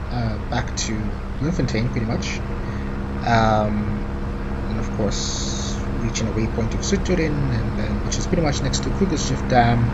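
A man speaks at a fairly slow pace, leaving long, frequent pauses amid loud background noise. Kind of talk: flight briefing commentary. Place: plane. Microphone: headset.

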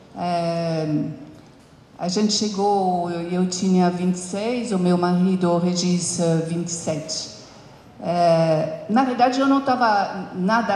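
At a very slow pace, a woman with a fairly low pitch speaks with ordinary pitch variation, light background noise and audible room echo. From France. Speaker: company founder and CEO. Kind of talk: interview on stage with audience. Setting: stage with audience. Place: stage. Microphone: handheld.

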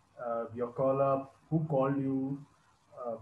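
Fairly even intonation amid light background noise and audible room echo. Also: man. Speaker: cricket interviewer. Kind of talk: interview. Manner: formal. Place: home room. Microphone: earbuds.

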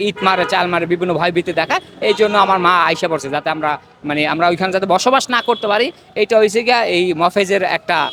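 Noise is clearly heard behind a man with a high voice, whose pitch varies normally. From Bangladesh, Madaripur. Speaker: protester, son of a freedom fighter. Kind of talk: street interview, protest testimony. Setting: outdoors on the street. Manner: animated.

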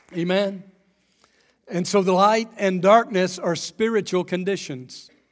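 A man's high voice with fairly even intonation at a fairly slow pace, crowd noise in the background. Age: 50s. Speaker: pastor. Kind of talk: sermon. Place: church. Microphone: headset.

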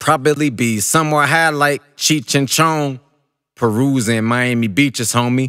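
Against a silent background on a very clean recording, a man with an American accent speaks at a very slow pace. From Kentucky, USA. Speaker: spoken word poet. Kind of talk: spoken word poetry performance.

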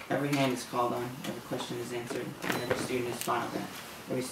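This is an unforced reading voice. The words are read in an unforced way.

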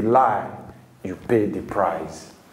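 A man speaks at a very slow pace, and the room echo is audible. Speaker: TV presenter and preacher. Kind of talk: sermon. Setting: studio. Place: studio.

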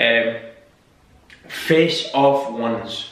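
A man speaks in a fairly high voice with ordinary pitch variation. Room echo is audible. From Scotland. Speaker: YouTuber. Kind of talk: casual talk to camera. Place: home room. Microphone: camera far.

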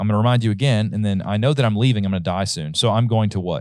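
Dry, echo-free audio captures a man talking at a very fast pace with fairly low pitch and ordinary pitch variation. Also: quiet background. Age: 30s. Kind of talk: casual Bible study discussion. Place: studio. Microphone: studio mic.

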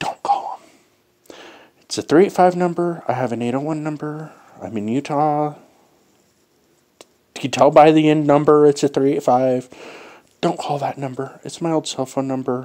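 Against a quiet background, a man with a dark, mellow tone speaks at a fairly slow pace with fairly even intonation and long, frequent pauses. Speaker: vlogger. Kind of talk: casual vlog chat. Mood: relaxed, amused. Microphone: earbuds.

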